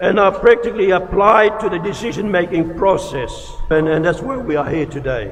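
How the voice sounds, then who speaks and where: A man's voice with music in the background. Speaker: graduation speaker, senior statesman. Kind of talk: formal graduation speech.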